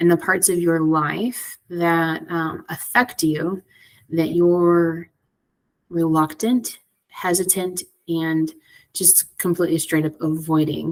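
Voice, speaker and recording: A woman speaks quietly at a very slow pace, with a fairly low pitch and fairly even intonation. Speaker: tarot and oracle card reader. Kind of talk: divination card reading. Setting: library. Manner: hesitant, many fillers.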